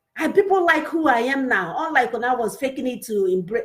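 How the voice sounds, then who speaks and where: Pitch swings very widely throughout. The speaker talks with a Nigerian accent. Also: woman. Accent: Nigerian Igbo English. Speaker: women's show host. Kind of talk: motivational talk show. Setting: live online stream. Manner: animated.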